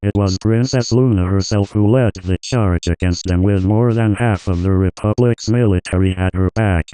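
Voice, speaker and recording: A man's fairly low voice at a moderate pace, fairly even in intonation and very even in loudness, with hardly any pauses against a quiet background. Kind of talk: historical documentary narration. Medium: read story. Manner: measured, solemn.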